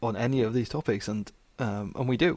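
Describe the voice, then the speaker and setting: At a fairly quick pace, a man with a normal speaking voice talks at a medium pitch. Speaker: podcast host. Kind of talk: casual interview chat.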